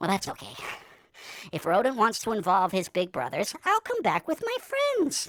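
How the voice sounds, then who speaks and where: A cartoonish character voice, female-sounding and fairly high in pitch. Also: moderate pace. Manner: self-talking, rambling.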